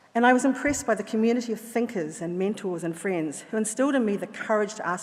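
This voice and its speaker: Over noticeable background noise, a woman with a New Zealand accent talks at a very fast pace with lively intonation. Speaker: honorary graduate, chemist. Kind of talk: acceptance speech. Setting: graduation ceremony in a hall.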